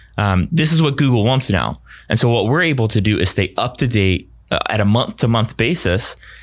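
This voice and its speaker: A man talks in a plain, everyday voice at medium pitch and a fairly quick pace, with lively intonation. Loudness stays very even on a very clean recording with a silent background. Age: 30s. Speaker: web design and ad agency representative. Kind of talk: podcast interview. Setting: studio.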